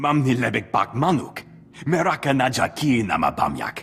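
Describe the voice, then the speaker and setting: Putting on a growling character voice, a man speaks at a moderate pace in a medium pitch. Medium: video game. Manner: jittery.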